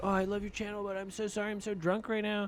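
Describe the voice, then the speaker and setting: A man puts on a character voice with a high pitch and monotone, flat intonation. He talks at a very fast pace. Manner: slurred, apologetic, gushing.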